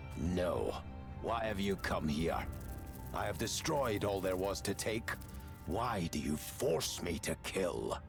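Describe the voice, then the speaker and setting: A man puts on a gravelly character voice, fairly low in pitch, speaking at a fairly slow pace with long, frequent pauses over loud background music. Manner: threatening.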